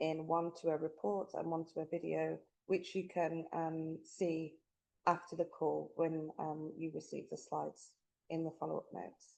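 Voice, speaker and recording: A woman with a Birmingham accent speaks in a dark, mellow tone at a fairly low pitch, her intonation monotone and flat against a quiet background. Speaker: tech organisation executive. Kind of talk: webinar presentation.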